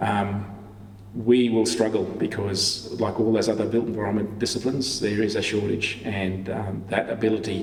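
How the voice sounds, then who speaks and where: A man with an Australian accent talks in a fairly low voice over noticeable background noise, with audible room echo. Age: 60s. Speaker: town planner, public sector leader. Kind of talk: Q&A after a lecture.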